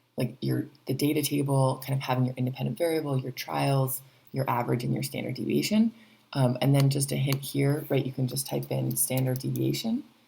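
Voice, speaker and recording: A soft-spoken woman talks at a fairly quick pace. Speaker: teacher. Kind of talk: tutorial. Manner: hesitant, many fillers. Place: home room. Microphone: webcam.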